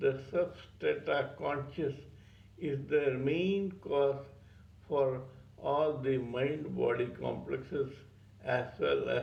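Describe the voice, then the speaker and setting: Audible room echo surrounds the voice. A man speaks at a very slow pace. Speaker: spiritual teacher, channel owner. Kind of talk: spiritual talk on scripture. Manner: stuttering.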